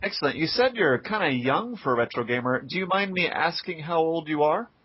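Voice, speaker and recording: Over noticeable background noise, a man talks at a fairly quick pace. His voice is fairly high with lively intonation. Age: 20s. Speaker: blogger interviewing a retro gamer. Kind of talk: casual interview.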